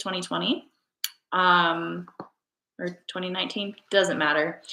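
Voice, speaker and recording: A woman with fairly low pitch and ordinary pitch variation. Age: 20s. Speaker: lifestyle vlogger and CT/MRI technologist. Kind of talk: casual chat. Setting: live stream.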